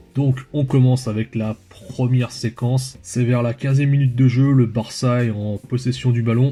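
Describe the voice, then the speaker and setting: A man talks at a moderate speed in a monotone, flat intonation, with noticeable background noise behind him. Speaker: football analysis youtuber. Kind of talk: tactical match analysis video. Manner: hesitant, many filler sounds.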